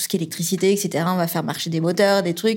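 The recording is very clean against a silent background. Her voice, a woman's, sits at a medium pitch. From Toulouse, southern France. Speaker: engineer, regional manager in EV charging. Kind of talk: interview, personal career story. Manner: hesitant, with fillers and repetitions.

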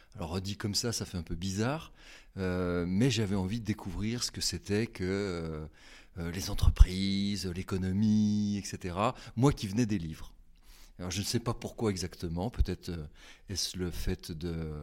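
On a very clean recording with a silent background, a man with a very deep, low pitch and a dark, mellow tone speaks fairly slowly and evenly, leaving long, frequent pauses. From France, Haute-Savoie. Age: 50s. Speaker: communication agency director. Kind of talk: interview, reflective career talk. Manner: hesitant, many fillers and repetitions.

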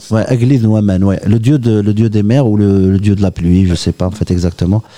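A man with a plain, everyday voice speaks at a fairly slow pace, with fairly low pitch, very even loudness and fairly even intonation. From Oran, Algeria. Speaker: guitarist. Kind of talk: interview.

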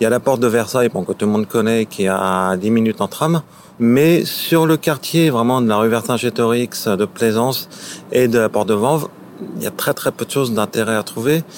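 Against noticeable background noise, a man talks at a moderate pace and medium pitch, keeping his loudness very even and his pitch variation ordinary. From Paris, France. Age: 30s. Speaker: local guide on a city walk. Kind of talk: casual guided walk commentary.

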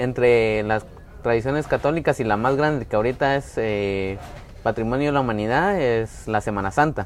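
Here a man with a Guatemalan accent speaks at medium pitch, with ordinary pitch variation. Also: moderate pace. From Guatemala, Antigua area. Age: 20s. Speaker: tour guide. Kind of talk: casual interview. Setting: café.

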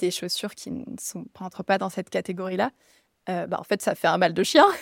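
A woman's plain, everyday voice at medium pitch, moderate pace, dry and close with no echo, on a very clean recording with a silent background. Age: 30s. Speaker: yoga teacher and physiotherapist. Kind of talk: casual interview chat.

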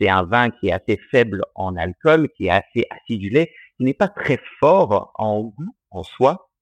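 Delivered at a very slow pace with lively intonation and a slight non-native accent, the voice sounds dry and close with no echo. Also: man. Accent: slight foreign accent in French. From Australia. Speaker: distiller. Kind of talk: interview. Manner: halting, many fillers.

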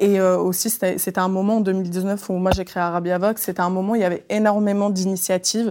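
A woman speaks at a medium pitch and a moderate pace, her tone dark and mellow. Her intonation is flat and monotone, on a very clean recording with a silent background. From France (raised from age 8, born in Tunisia). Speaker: journalist and podcaster. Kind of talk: panel discussion.

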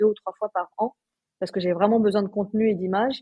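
A woman at medium pitch, monotone and flat, at a very fast pace. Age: 40s. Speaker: portrait photographer and podcaster. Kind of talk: interview conversation.

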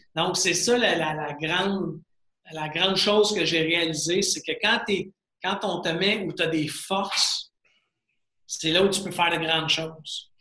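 A man with a high pitch talks at a very slow pace. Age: 40s. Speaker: serial entrepreneur. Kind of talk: interview. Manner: animated.

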